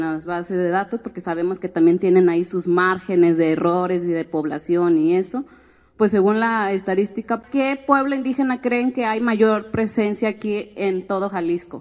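In an ordinary speaking voice, a woman of medium pitch talks at a moderate pace with ordinary pitch variation and hardly any pauses against a quiet background. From Mexico, Guadalajara and Oaxaca. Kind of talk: talk at a public forum.

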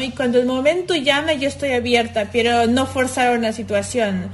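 A woman talks with a Mexican accent at a high pitch. There is noticeable background noise. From Mexico (Xalapa, Veracruz). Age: 30s. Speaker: illustrator. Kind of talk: casual chat.

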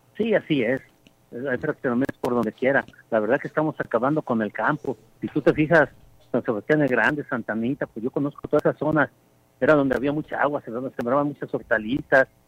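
The speech moves at a very fast pace with ordinary pitch variation. The sound is dry and close, with no echo. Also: man, medium pitch for a man. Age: 70s. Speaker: farmer and community leader. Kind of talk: phone interview. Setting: phone call. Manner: halting.

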